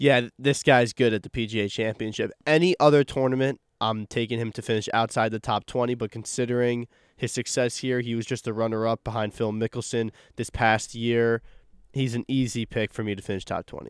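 A man with a normal speaking voice, medium pitch and fairly even intonation at a fairly quick pace, dry and close with no echo, on a very clean recording with a silent background. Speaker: student golf podcast co-host. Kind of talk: casual chat.

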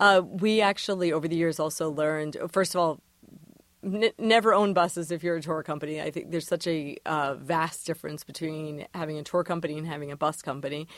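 An unremarkable speaking voice at a fairly quick pace with fairly even intonation, on a very clean recording with a silent background. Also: woman, fairly low pitch for a woman. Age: 20s. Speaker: tour company founder. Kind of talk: interview. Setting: studio.

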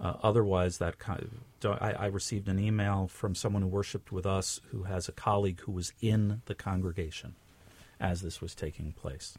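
With an American accent, a man speaks at a moderate pace in a fairly low, somewhat breathy voice on a very clean recording with a silent background. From New York City, Bronx. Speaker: rabbi. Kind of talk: interview. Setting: studio.

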